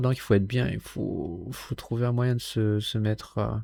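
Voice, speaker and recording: On a very clean recording with a silent background, a man with a dark, mellow, somewhat breathy tone talks at a medium pitch, a fairly slow pace, and with fairly even intonation. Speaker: content creator, solo vlogger. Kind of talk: casual solo vlog talk to camera. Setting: home bedroom, recording with camera and mic. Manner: halting, with many fillers and repeats.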